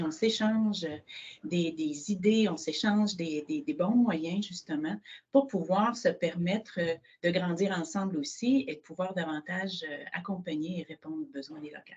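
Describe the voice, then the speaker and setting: A somewhat breathy woman speaks at a medium pitch and fairly slow pace, with lively intonation and big swings in loudness. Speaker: social housing director. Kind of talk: webinar presentation.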